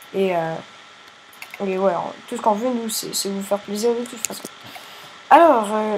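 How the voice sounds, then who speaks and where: A woman with a fairly high voice and ordinary pitch variation speaks at a moderate pace with big swings in loudness and long, frequent pauses, amid noticeable background noise and audible room echo. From Quebec. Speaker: gaming youtuber. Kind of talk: casual gameplay commentary. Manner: halting, repeats words.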